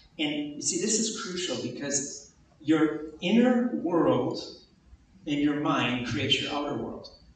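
Amid noticeable background noise and audible room echo, a man with lively intonation talks at a fairly high pitch and a moderate pace. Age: 50s. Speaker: pastor. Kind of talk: sermon. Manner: animated.

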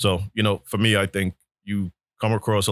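A man speaks with a New York accent and fairly even intonation. The recording is very clean with a silent background and a dry, close sound with no echo. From New York City (Brooklyn). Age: 40s. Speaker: real estate agent. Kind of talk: casual interview.

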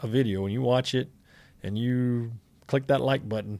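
A man speaks at a medium pitch with ordinary pitch variation and an unremarkable speaking voice. The recording is very clean, with a silent background. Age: 40s. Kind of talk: casual chat. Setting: Facebook livestream.

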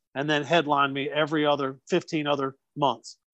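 Someone speaks with a Southern US accent. The sound is dry and close, without any echo. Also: man, quiet background. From North Carolina. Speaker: comedian. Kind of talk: casual chat.

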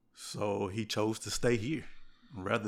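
The recording is very clean, with a silent background. A man talks in a fairly low voice. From US South, Mississippi Gulf Coast. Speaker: church member. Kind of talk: casual chat. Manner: halting, repeats words.

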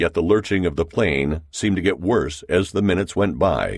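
Recorded very cleanly against a silent background, a man with vocal fry and lively intonation speaks at a moderate pace. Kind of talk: audiobook narration; dramatic narration. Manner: tense, dramatic, building suspense; formal, measured.

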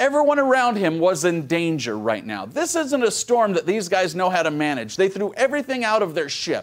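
A man's high voice with very wide pitch swings, a fairly quick pace, and hardly any pauses. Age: 40s. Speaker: pastor. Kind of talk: sermon. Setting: church service streamed online.

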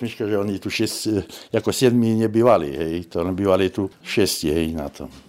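A man speaks at a fairly slow pace in a fairly low voice with ordinary pitch variation. He has an unremarkable speaking voice. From far eastern Slovakia, Nová Sedlica. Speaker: village mayor. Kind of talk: interview.

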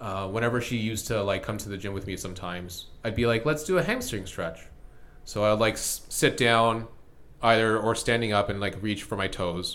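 Audible room echo surrounds a man speaking at a moderate pace, with a fairly low pitch and ordinary pitch variation. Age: 30s. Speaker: podcast host. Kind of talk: casual chat. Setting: home basement.

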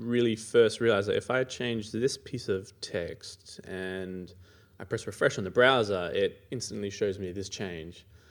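Recorded very cleanly against a silent background, a man with an Australian accent speaks at a fairly slow pace. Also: big swings in loudness. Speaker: iOS engineer and conference organiser. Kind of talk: interview.

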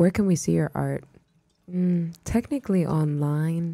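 A woman speaks with an American accent. Her tone is dark and mellow, and somewhat breathy. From Houston, Texas. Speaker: artist and viral internet personality. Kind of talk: casual chat.

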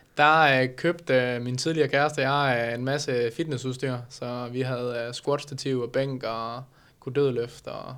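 The recording is very clean and the background is silent. A man talks in a monotone with flat intonation. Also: medium pitch for a man, fairly slow pace. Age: 20s. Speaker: bodybuilding competitor. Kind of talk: casual interview. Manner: halting, many fillers.

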